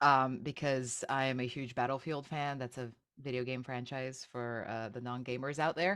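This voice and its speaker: A woman with a very deep, low pitch speaks on a very clean recording with a silent background. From Slovenia. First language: Slovenian. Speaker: actor and voice actor. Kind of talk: podcast interview.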